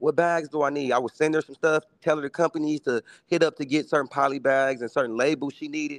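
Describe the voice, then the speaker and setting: A man with an American accent speaks at a very fast pace in a fairly high voice with fairly even intonation. The sound is dry and close with no echo, over a quiet background. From Milwaukee, US Midwest. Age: 30s. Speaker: entrepreneur and sneaker reseller. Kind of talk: casual chat. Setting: video call.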